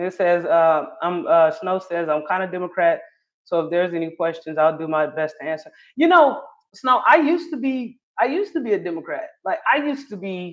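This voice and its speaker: Speaking at a fairly quick pace, a woman with a medium-pitched voice and an American accent sounds animated, her intonation lively. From North Carolina (Charlotte). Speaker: live streamer / political commentator. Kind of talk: casual livestream commentary reading chat. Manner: animated, conversational.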